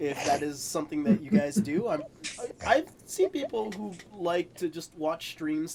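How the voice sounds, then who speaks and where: Amid noticeable background noise, a high-pitched man speaks at a moderate pace with lively intonation. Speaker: tabletop game master. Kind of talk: casual chat. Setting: live stream.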